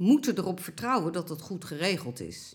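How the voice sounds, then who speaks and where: On a very clean recording with a silent background, a woman speaks. Her fairly slow delivery has very wide pitch swings. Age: 60s. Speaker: elderly care campaigner. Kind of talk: interview.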